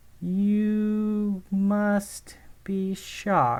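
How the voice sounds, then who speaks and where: This is a female-sounding voice at medium pitch. She uses a put-on character voice. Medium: read story. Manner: theatrical, condescending.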